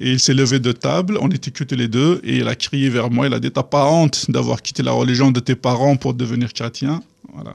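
A man speaks at medium pitch and a fairly quick pace, with ordinary pitch variation. The sound is dry and close, without any echo. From Algeria, Kabylie. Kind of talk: testimony. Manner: halting.

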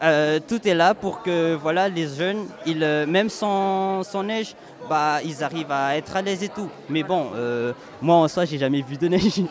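A man with a Malagasy accent speaks at a fairly slow pace in a high pitch. His pitch variation is ordinary, and noticeable background noise can be heard. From Madagascar. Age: young. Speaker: youth camp leader. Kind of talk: interview.

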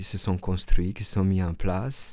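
A man speaks with a Romanian accent at a fairly low pitch. His tone is dark and mellow. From Romania, northern Transylvania. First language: Romanian (speaking French). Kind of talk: radio interview. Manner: halting, many repetitions and fillers.

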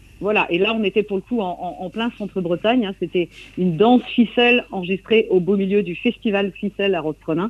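A woman talks at a fairly quick pace, her medium pitch showing ordinary pitch variation. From Brittany, coastal Trégor. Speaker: singer and songwriter. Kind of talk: radio interview. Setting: remote interview from Brittany. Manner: halting, many repetitions.

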